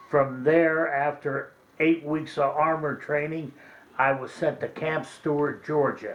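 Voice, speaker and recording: A monotone, flat voice speaks at a fairly slow pace with an American accent over noticeable background noise. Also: man, fairly high pitch for a man. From western Pennsylvania. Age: 70s. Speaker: war veteran. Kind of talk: oral history interview.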